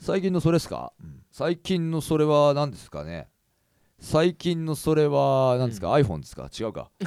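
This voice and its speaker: Male speech at a moderate tempo, very clean recording, silent background. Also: big swings in loudness. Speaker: podcast host and singer. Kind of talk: casual chat. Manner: loud; animated.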